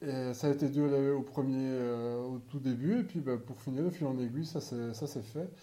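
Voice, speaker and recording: Audible room echo colors a man's dark, mellow tone at a medium pitch with ordinary pitch variation. He talks at a fairly slow pace with hardly any pauses. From Belgium. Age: 30s. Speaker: podcaster. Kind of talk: casual monologue. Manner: halting.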